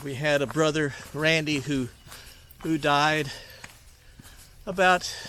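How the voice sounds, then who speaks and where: In an Alabama accent, a man speaks at a very slow pace with a fairly high pitch and a relaxed yet bright, sharp tone. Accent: Southern US (Alabama). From US South, North Alabama. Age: 60s. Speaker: hiking vlogger. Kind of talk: casual vlog talk while hiking. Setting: outdoors on a trail. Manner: relaxed, many hesitations.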